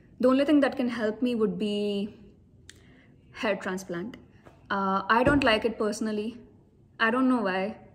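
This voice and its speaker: A woman speaks at a moderate pace in a somewhat breathy voice with a fairly high pitch. Her intonation stays fairly even, broken by long, frequent pauses. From India. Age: 30s. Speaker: vlogger. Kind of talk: personal talk to camera.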